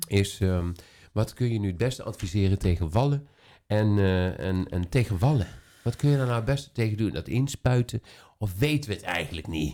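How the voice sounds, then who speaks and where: A man speaks in a normal speaking voice, fairly low in pitch, at a moderate pace. His intonation is lively, and the recording is very clean with a silent background. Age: 40s. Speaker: podcast host and salon owner. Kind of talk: casual chat.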